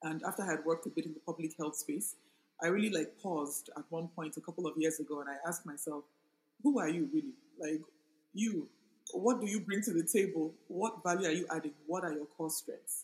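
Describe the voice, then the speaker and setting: At a fairly quick pace, a woman with an unremarkable speaking voice and a fairly low pitch talks with ordinary pitch variation. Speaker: author and project manager. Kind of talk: casual interview conversation. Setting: in a room with air conditioning.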